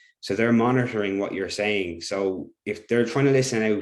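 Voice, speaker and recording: Very fast and fairly even in intonation, a man speaks with an Irish accent on a very clean recording with a silent background. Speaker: teacher. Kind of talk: workshop presentation.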